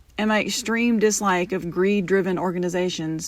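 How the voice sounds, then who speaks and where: Here is a woman with an unremarkable speaking voice at a medium pitch. She keeps a moderate pace and fairly even intonation. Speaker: podcast host. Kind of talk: podcast intro appeal.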